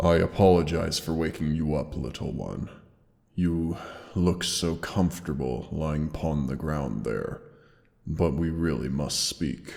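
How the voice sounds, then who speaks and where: In a put-on character voice, a man talks at a fairly slow pace. His pitch is very deep and low. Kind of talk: audio roleplay. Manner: soft, tender, emotional.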